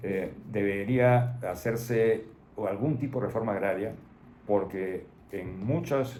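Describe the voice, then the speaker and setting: A man with a fairly low pitch speaks in a dark, mellow tone. His pitch varies in an ordinary way, and audible room echo surrounds him. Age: 80s+. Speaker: retired doctor. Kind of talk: interview. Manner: halting.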